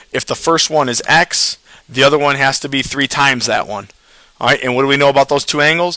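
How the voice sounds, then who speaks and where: Fairly quick male speech at a fairly high pitch, its variation ordinary. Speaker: math teacher. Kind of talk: tutorial. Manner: fast.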